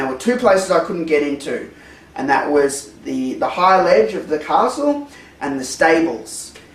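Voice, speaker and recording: Lively intonation marks a man's speech, heard with audible room echo and noticeable background noise. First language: not English. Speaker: retro game reviewer. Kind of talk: casual video review. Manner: animated; hesitant, many fillers.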